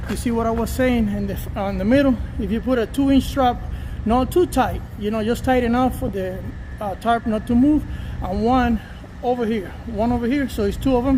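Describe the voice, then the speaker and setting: A man speaks over noticeable background noise. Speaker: truck driver. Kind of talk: tutorial. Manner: fast; halting.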